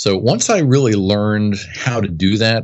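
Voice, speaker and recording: A man with an American accent, an ordinary speaking voice, fairly low pitch and lively intonation. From US East Coast, near Washington DC. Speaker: business coach. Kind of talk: interview.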